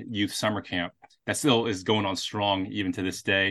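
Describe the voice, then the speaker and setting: Against a quiet background, a man with an American accent uses fairly even intonation, a fairly low pitch and a bright, sharp tone. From Houston, Texas. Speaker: pastor. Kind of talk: casual chat. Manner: halting.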